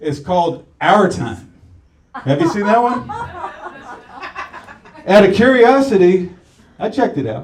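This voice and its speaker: Swinging very widely in pitch, a man talks in a high voice. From St. Petersburg, Florida. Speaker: stand-up comedian. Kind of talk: live stand-up comedy set.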